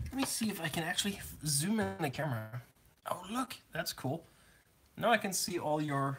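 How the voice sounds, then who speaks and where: Long, frequent pauses at a moderate pace, with noticeable background noise. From Germany. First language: German. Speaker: scale model builder. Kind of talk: live build-along stream chat. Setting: live stream with camera. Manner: casual, joking.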